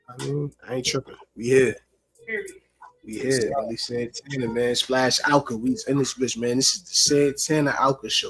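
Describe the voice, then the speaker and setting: A man with a New York accent talks at a moderate pace in a medium pitch, his intonation fairly even. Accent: New York City. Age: 30s. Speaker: rapper and show co-host. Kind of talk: casual chat.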